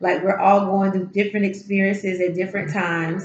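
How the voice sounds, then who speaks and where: Over noticeable background noise, a woman speaks at medium pitch. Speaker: tarot reader. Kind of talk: spiritual encouragement talk. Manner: casual, halting with fillers.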